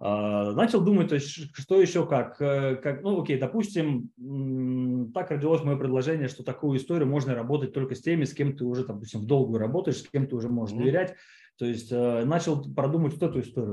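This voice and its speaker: A man's dark, mellow, somewhat breathy voice, fairly high in pitch, with lively intonation at a very fast pace. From Siberia, Russia (Kemerovo). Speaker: online course producer and entrepreneur. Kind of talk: casual interview. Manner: halting, many fillers.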